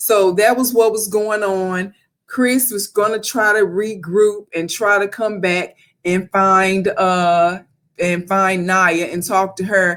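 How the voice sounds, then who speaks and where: A woman with a medium pitch speaks at a very slow pace with fairly even intonation. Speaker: reality TV reviewer. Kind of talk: casual commentary. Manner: halting, many fillers.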